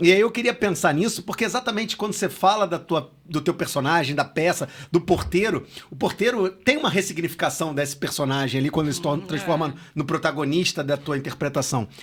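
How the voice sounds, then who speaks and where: Speaking in a high pitch with lively intonation, a man moves at a fairly quick pace with hardly any pauses. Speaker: podcast host. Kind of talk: podcast interview question.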